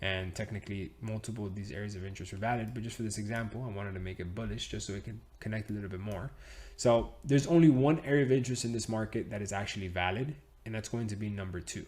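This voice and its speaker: A man speaks at a very fast pace in a fairly low pitch, with an animated tone and a somewhat breathy voice. His loudness swings widely while his pitch varies in an ordinary way. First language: Spanish. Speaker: trading educator. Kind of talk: tutorial. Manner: animated, casual.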